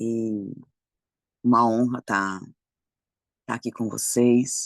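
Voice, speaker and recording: Against a quiet background, a man with a medium pitch talks at a very slow pace in a flat monotone, the sound dry and close with no echo. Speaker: preacher. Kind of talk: devotional talk.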